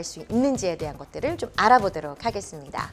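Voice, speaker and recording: A woman's fairly high voice with very wide pitch swings over music in the background. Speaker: announcer and speech coach. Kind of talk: speech training lecture.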